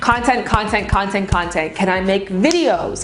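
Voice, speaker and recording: A woman talks at a moderate pace with lively intonation, with audible room echo and noticeable background noise. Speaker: YouTuber. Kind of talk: casual vlog narration. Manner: drops word endings.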